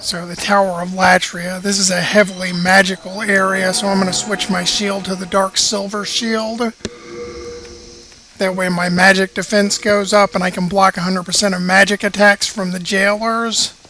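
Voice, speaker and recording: Music plays in the background as a raised, projected voice carries over it. The delivery comes at a moderate pace in a flat monotone. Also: man, high pitch for a man. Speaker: gaming video creator. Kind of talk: gameplay commentary.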